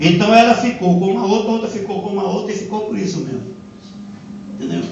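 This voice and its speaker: A man's high-pitched voice amid noticeable background noise and audible room echo. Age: 60s. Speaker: pastor. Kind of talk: sermon.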